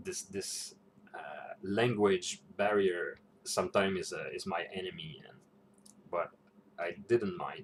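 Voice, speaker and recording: Speaking at a fairly slow pace with a non-native accent, a man leaves long, frequent pauses and shows big swings in loudness. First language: not English. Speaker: role-playing game vlogger. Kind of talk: casual reflection vlog. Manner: halting, many fillers and repetitions.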